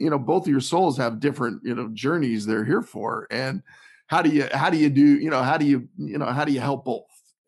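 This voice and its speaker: With lively intonation, the clip presents an unremarkable speaking voice. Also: man, quiet background. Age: 50s. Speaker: health and lifestyle author. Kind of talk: casual interview.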